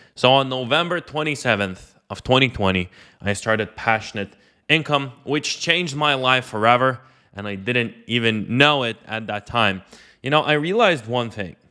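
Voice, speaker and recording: A man with a non-native accent speaks at a moderate pace. His pitch sits in the medium range, with ordinary pitch variation. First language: not English. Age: 20s. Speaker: online entrepreneur and coach. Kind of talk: personal story monologue. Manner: casual, filler-heavy.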